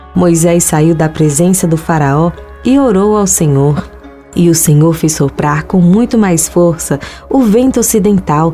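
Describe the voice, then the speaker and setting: Over music in the background, a woman speaks at a fairly slow pace with a fairly low pitch. Her intonation is lively and her loudness very even. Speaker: voice-over narrator. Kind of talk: Bible reading, religious narration.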